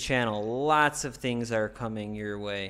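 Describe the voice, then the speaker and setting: On a very clean recording with a silent background, a man speaks at a fairly slow pace with fairly even intonation. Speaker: vlogger and bar owner. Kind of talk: informal explainer talk. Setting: home studio. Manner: monotone; hesitant, many fillers.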